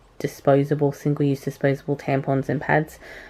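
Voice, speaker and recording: Speaking with an Australian accent at a moderate pace, a woman has a very deep, low pitch and a dark, mellow tone. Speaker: product reviewer, video blogger. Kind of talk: product review. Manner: hesitant, many filler words.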